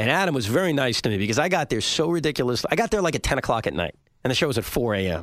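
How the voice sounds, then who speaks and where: At a very fast pace, a man speaks at a medium pitch with very wide pitch swings and very even loudness. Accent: New York. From Long Island, New York. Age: 30s. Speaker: sports radio host. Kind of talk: interview.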